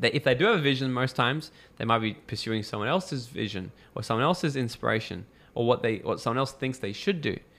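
A man with an Australian accent talks at a very fast pace in a medium pitch with lively intonation, recorded very cleanly over a silent background. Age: 20s. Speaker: entrepreneur and mentor. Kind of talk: casual interview chat. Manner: animated.

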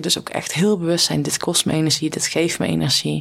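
With a plain, everyday voice, a woman speaks fairly low and at a fairly quick pace. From Netherlands, rural farm. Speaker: former pro cyclist, performance coach. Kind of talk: interview conversation.

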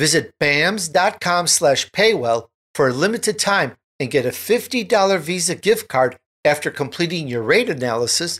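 A man speaks with a fairly high pitch. He has a plain, everyday voice. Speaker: radio talk show host. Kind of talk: interview.

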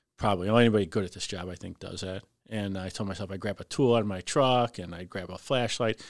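A man with a Chicago accent, fairly low pitch and fairly even intonation, at a very fast pace with big swings in loudness, on a very clean recording with a silent background. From Cicero, Illinois (Chicago area). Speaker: fire lieutenant. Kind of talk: casual interview storytelling.

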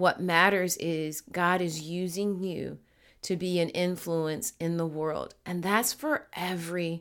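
A woman's voice, very cleanly recorded, against total background silence. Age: 50s. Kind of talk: solo podcast monologue, personal testimony. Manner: hesitant, many filler words.

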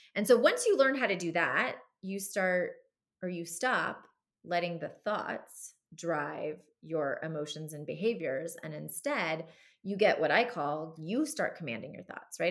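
An unremarkable speaking voice from a woman with an American accent, fairly low in pitch, at a moderate pace, with lively intonation and big swings in loudness. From US, Southern California. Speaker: retired military officer and mindfulness coach. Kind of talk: interview.

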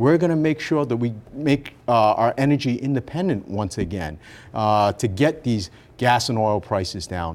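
A man's normal speaking voice in an American accent, medium in pitch, moderately paced, with lively intonation. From Rhode Island, US. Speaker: politician, former mayor. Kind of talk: radio interview. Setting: studio.

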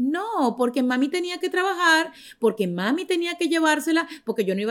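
The recording is very clean and the background silent. Her pitch swings very widely as this woman talks. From Venezuela. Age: 40s. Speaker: podcast host. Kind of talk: casual chat. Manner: animated.

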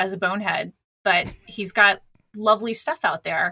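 In an American accent, a woman speaks with a bright, sharp tone and a dry, close sound with no echo. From Texas. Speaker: podcaster.

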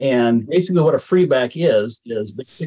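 In an American accent, a man with an unremarkable speaking voice talks at a moderate pace with ordinary pitch variation, in a dry, close sound with no echo. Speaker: vintage baseball player. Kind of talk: casual interview.

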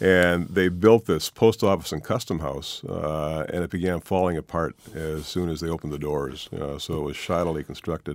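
Here a man with a Wisconsin accent talks at a very deep, low pitch, with hardly any pauses. The sound is dry and close, with no echo. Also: ordinary pitch variation, moderate pace. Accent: Upper Midwest (Wisconsin). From Milwaukee, Wisconsin (south side). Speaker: author and newspaper columnist. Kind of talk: radio interview. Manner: halting, with frequent fillers and repetitions.

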